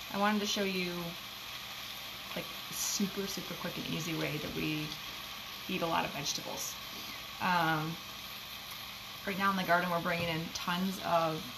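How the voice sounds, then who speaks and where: Against noticeable background noise, a woman with a fairly low pitch speaks at a moderate pace in a monotone, flat way, leaving long, frequent pauses. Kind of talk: casual cooking tutorial. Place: kitchen.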